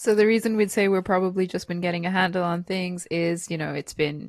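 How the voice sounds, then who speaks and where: Quiet surroundings and a woman speaking with a non-native accent. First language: not English. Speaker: podcast co-host. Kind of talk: casual podcast chat.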